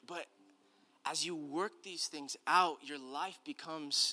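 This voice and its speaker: A man speaks at a fairly slow pace in an American accent, his pitch high for a man and his tone bright and sharp. His delivery is animated with ordinary pitch variation, on a very clean recording with a silent background. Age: 30s. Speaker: pastor. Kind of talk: sermon. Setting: church with congregation.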